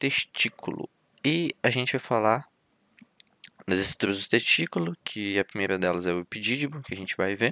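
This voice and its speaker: The man's tone is bright and sharp, with lively intonation. His sound is dry and close, without echo. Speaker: university student tutor. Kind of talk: lecture. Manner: fast.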